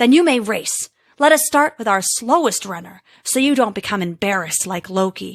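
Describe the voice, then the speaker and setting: A woman puts on a growling character voice at a fairly high pitch and a moderate pace. The recording is very clean, with a silent background. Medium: read story. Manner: smug, condescending.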